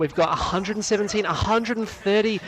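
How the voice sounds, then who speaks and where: Noticeable background noise runs under the man's very fast speech. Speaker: esports commentator. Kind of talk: live commentary.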